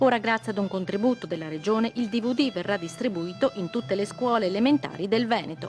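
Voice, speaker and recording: With music in the background, a woman speaks at a very fast pace with hardly any pauses, a medium pitch and lively intonation. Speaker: TV news reporter. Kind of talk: TV news report narration.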